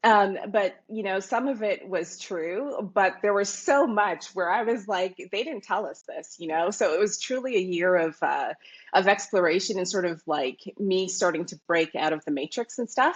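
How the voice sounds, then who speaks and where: A woman with a Canadian accent speaks in an ordinary speaking voice at a moderate pace and a medium pitch. Her pitch varies in an ordinary way, with hardly any pauses. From Canada, Toronto. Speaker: Bitcoin commentator. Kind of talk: interview.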